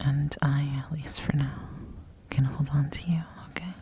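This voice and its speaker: A woman whispers in a soothing tone at a fairly slow pace over noticeable background noise. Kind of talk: ASMR comfort role play. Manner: whispered; soft-spoken, soothing.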